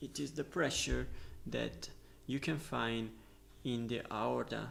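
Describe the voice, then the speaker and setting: Speech comes at a very slow pace in an Italian accent. Audible room echo surrounds it. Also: man. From Italy. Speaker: medical student, educational youtuber. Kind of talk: lecture. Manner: halting, with filler sounds.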